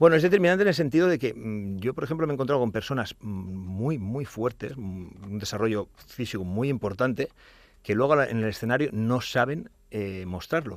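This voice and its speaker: A man at medium pitch with lively intonation and a moderate pace, on a very clean recording with a silent background. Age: 40s. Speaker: natural bodybuilding champion. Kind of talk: casual chat. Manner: halting.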